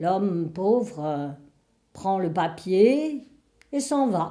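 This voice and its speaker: This woman has a dark, mellow tone and a medium pitch with lively intonation. She talks at a very slow pace. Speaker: storyteller. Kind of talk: Christmas folk tale told aloud.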